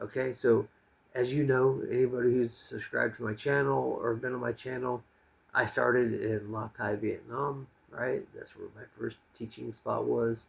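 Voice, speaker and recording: A man with a slight rural American accent at a moderate pace, with big swings in loudness. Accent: slight country American. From US. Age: 40s. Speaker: expat vlogger and English teacher. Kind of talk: casual monologue vlog. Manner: calm; halting with fillers.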